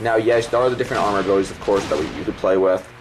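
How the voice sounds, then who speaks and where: Amid noticeable background noise, a man with a fairly low voice talks at a very fast pace. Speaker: gaming YouTuber. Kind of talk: game commentary over gameplay. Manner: stuttering; casual, rambling with fillers.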